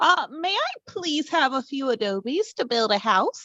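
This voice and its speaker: A woman puts on a character voice, pitched high with very wide pitch swings. Her pace is moderate. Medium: read story. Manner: spunky, brave.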